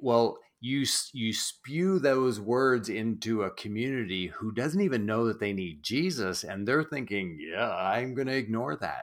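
A man with a slight Canadian Maritime accent and a medium pitch speaks at a fairly slow pace with lively intonation and hardly any pauses, in a very clean recording with a silent background. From New Brunswick, East Coast Canada. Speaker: church branding specialist and author. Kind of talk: interview.

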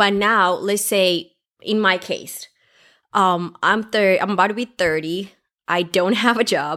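A woman speaks in a plain, everyday voice at a medium pitch with fairly even intonation. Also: very clean recording, silent background. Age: 20s. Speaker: podcast co-host, healthcare student and mother. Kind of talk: casual chat.

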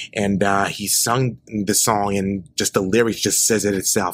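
A man with an American accent speaks at a moderate pace in a monotone, flat intonation. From Memphis, Tennessee. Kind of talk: casual interview. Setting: church choir room. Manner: halting.

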